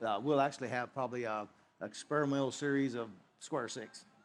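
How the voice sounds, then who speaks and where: This man has a Kentucky accent and a fairly high pitch. He talks at a very fast pace with ordinary pitch variation. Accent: Kentucky Southern US. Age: 60s. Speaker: whiskey distiller. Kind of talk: interview. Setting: festival talk show. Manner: halting, many fillers.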